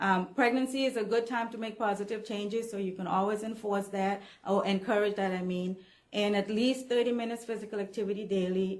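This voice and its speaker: A woman talks in a normal speaking voice at a medium pitch. Her pace is moderate, and her intonation is fairly even. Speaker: nutrition trainer presenting to staff. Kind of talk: staff training presentation.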